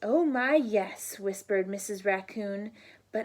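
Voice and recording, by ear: The pitch moves in an ordinary way as a natural voice reads aloud.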